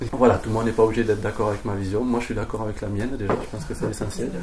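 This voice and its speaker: Male speech against noticeable background noise, with audible room echo. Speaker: permaculture teacher. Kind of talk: lecture.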